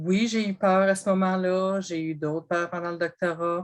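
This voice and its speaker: In a Quebec accent, a woman talks at a fairly slow pace. Her medium pitch stays monotone and flat. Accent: rural Quebec French. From Quebec, Bas-Saint-Laurent. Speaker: sales representative with a PhD, panelist. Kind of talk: panel discussion. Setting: online video event.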